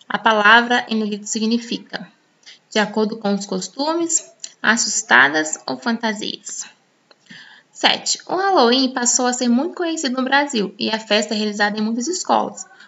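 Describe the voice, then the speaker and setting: This woman has an ordinary speaking voice, pitched fairly high. She talks at a moderate pace with lively intonation. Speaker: English teacher. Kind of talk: tutorial. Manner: casual, conversational with many filler words.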